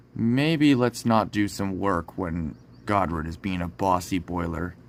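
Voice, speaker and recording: In a put-on character voice, the speaker goes at a fairly slow pace on a very clean recording with a silent background. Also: man, very deep, low pitch for a man. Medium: read story. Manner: cautious.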